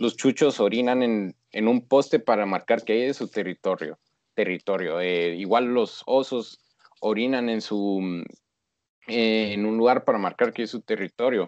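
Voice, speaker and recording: With a normal speaking voice, a man talks at a fairly slow pace and medium pitch, with ordinary pitch variation. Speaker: podcast co-host. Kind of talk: casual chat.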